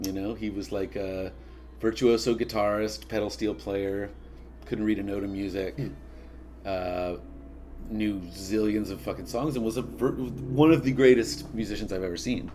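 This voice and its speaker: Speaking with an American accent in a dark, mellow tone, this voice makes very wide pitch swings against audible room echo. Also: man, fairly low pitch for a man, moderate pace. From Oklahoma, Tulsa. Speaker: bass player. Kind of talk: casual chat. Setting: at his home.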